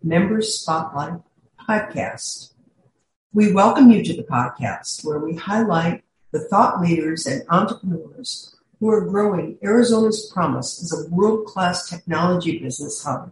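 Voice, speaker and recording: A woman with an ordinary speaking voice talks fairly slowly at a fairly low pitch, her intonation lively. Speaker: podcast host, executive coach. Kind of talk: scripted intro and outro.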